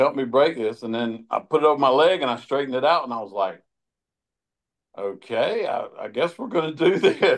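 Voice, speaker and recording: This man has an ordinary speaking voice, fairly high in pitch. He speaks at a moderate pace with lively intonation. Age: 60s. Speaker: grip strength athlete. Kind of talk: podcast interview.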